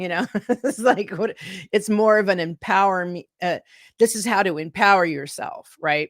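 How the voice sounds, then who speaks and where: With ordinary pitch variation and a fairly slow pace, a woman speaks in an ordinary speaking voice, with a dry, close sound and no echo. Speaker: musician, vocalist and author. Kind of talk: interview answer.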